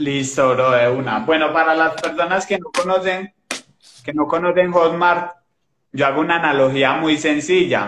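He has an ordinary speaking voice, fairly high in pitch for a man, with ordinary pitch variation and a fairly slow pace. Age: 20s. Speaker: digital marketing entrepreneur. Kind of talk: casual chat. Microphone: old phone camera, poor resolution.

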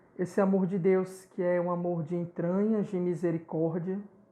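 A man with a high voice speaks at a fairly slow pace in a flat, monotone way, his tone dark and mellow. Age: 30s. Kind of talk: testimony.

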